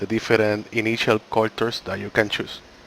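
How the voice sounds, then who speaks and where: A man with a non-native accent speaks at medium pitch. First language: not English. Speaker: gaming YouTuber. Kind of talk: game tutorial. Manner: slightly halting.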